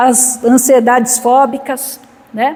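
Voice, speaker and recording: A woman's high-pitched voice carries audible room echo, with noticeable background noise behind it. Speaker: spiritist lecturer, psychologist. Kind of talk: spiritual lecture.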